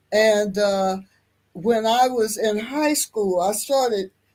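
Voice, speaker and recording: Recorded very cleanly with a silent background, a woman with an American accent speaks in a dark, mellow tone. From US Midwest, Kansas City, Kansas. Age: 70s. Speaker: activist. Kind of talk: interview, life story.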